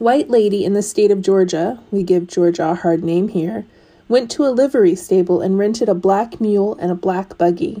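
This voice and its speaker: This woman has an ordinary speaking voice and a medium pitch. She talks at a moderate pace with ordinary pitch variation. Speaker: storyteller. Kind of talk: storytelling, reading folk tales aloud in a narrated, dramatized telling.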